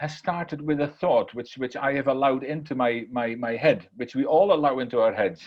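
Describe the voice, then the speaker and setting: Speaking at a fairly quick pace, a man with a Dutch accent uses lively intonation. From Netherlands. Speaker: keynote speaker. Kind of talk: motivational talk. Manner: repetitive stammering restarts.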